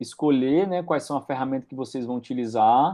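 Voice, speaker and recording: Speaking at a moderate pace, a man with an unremarkable speaking voice shows ordinary pitch variation. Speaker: university lecturer. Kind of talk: lecture. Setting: video call. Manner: casual.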